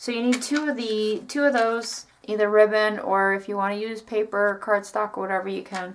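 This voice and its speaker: A woman uses a normal speaking voice, pitched in the middle range, and moves at a moderate pace. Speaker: craft youtuber. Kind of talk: tutorial. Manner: casual, chatty.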